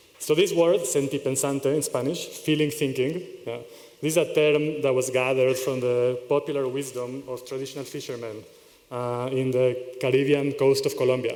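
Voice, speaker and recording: Medium-pitched male voice with fairly even intonation, audible room echo and noticeable background noise. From Israel. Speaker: conference speaker. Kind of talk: conference talk. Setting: stage with audience. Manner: fast.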